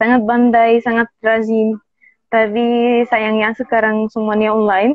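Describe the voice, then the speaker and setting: Monotone, flat intonation and a fairly slow pace come with an Arabic accent. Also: woman, fairly high pitch for a woman. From Egypt. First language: Arabic (speaking Indonesian). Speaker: native speaker guest, Indonesian learner. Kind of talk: interview conversation. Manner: halting, with hesitations.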